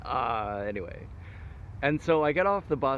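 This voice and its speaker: A man's voice with vocal fry and very wide pitch swings, plus audible room echo. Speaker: vlogger. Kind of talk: casual vlog monologue. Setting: outdoors by a river. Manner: halting, self-correcting.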